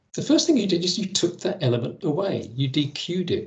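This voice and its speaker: A man talks with an English accent and lively intonation. His voice carries vocal fry. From England. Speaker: Excel presenter; presenter. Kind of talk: technical presentation. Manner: hesitant, many fillers. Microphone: video call.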